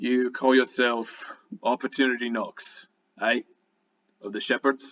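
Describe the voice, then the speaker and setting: A man puts on a raspy, growling, rumbling character voice at a medium pitch. He speaks at a fairly slow pace. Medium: actual play. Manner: curt, gruff.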